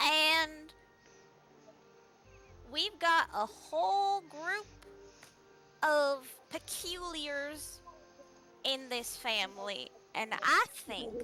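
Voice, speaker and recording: Over clear music in the background, a woman in a put-on character voice speaks at a high pitch and a very slow pace, with long, frequent pauses. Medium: actual play. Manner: cheerful, whimsical.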